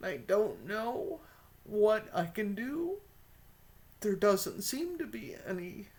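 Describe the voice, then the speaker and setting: A woman's fairly high, somewhat breathy voice with an American accent, at a very slow pace with very wide pitch swings and long, frequent pauses. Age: 60s. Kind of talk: casual talk to camera.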